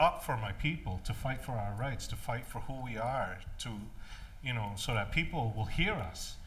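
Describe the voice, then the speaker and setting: The speech moves at a moderate pace with ordinary pitch variation. Room echo is audible. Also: man. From Maine, Passamaquoddy community. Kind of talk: panel discussion. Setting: stage with audience. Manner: loud; halting, many fillers.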